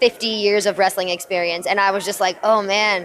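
This woman has an unremarkable speaking voice with an American accent, medium pitch, fairly even intonation and a moderate pace. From US, New Jersey. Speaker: professional wrestler. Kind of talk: interview. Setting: WrestleMania media day.

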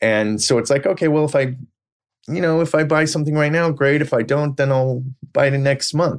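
In an American accent, this is an ordinary speaking voice at a fairly quick pace, with very even loudness and fairly even intonation. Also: man, fairly high pitch for a man. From US West Coast, Silicon Valley. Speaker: real estate broker. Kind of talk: casual interview.

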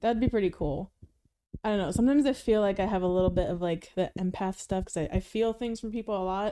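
Her tone is dark and mellow, her pitch medium with ordinary variation. The woman talks at a very fast pace. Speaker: hairdresser. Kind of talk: casual chat.

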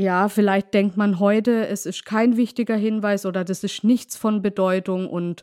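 A woman's normal speaking voice at medium pitch, with a dry, close sound and no echo. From Baden, southwest Germany (Markgräflerland). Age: 40s. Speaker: daughter of a murder victim. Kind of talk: interview.

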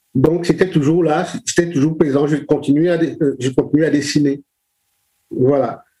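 The speech moves at a very slow pace with very even loudness. Intonation stays monotone and flat. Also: man, fairly high pitch for a man. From Cameroon, Douala. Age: 60s. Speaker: children's book illustrator and author. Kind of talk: interview. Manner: halting, many repetitions.

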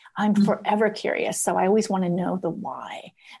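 Somewhat breathy, the woman's voice comes through. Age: 50s. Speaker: life coach. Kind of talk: casual chat.

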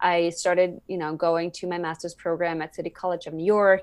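Over a quiet background, a woman with a Swedish accent speaks fairly quickly in a fairly low pitch. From Sweden. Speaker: environmental activist and speaker. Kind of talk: podcast interview.

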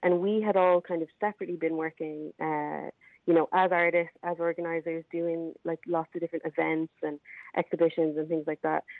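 In an Irish accent, a woman speaks at a fairly quick pace. Her fairly low voice has a monotone, flat intonation. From Ireland. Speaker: arts festival organiser. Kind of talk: interview. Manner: halting, many fillers.

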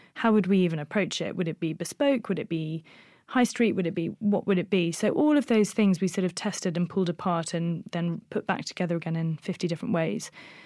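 A woman with a plain, everyday voice speaks at medium pitch with ordinary pitch variation and hardly any pauses. The recording is very clean, with a silent background. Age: 30s. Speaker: fashion brand founder. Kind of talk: interview.

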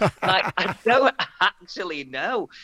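A man's raised, projected voice with a bright, sharp tone and very wide pitch swings, in a dry, close sound with no echo. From northern England. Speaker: comedian. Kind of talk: casual chat.

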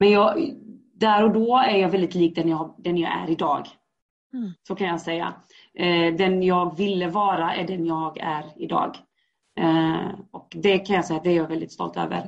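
At a moderate pace, a woman with a fairly low pitch speaks in an ordinary speaking voice. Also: fairly even intonation. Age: 30s. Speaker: guest sharing life story. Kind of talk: personal testimony interview.

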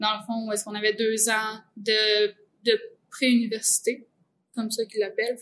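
A woman with a Quebec accent speaks at a moderate pace in a monotone, flat intonation, with long, frequent pauses. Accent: Québécois French. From Centre-du-Québec, Quebec. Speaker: composer. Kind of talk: casual chat.

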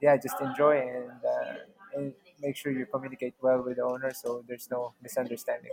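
This man's pitch sits in the medium range. He talks fairly slowly. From Philippines. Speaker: travel content creator and house sitter. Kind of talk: interview.

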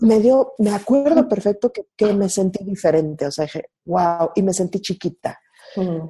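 A woman with a Mexico City accent speaks fairly slowly in a medium-pitched, somewhat breathy voice of dark, mellow tone, her intonation lively and the sound dry and close with no echo. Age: 30s. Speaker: marketer and coach. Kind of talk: casual interview. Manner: animated.

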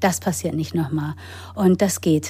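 A woman's very deep, low voice has a dark, mellow tone and very wide pitch swings. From grew up in England, Germany and the US. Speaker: actress, author and yoga teacher. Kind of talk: personal testimony in interview. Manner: hesitant with fillers.

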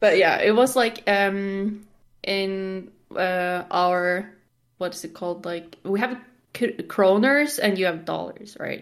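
A woman with a Norwegian accent, very slow pace and ordinary pitch variation. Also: medium pitch for a woman. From Norway. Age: 20s. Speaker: gamer and streamer. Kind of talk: casual chat.

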